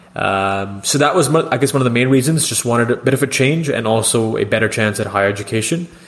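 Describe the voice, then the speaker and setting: Over noticeable background noise, a man of medium pitch talks at a very fast pace with ordinary pitch variation. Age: 20s. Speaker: podcast host and student. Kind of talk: casual interview.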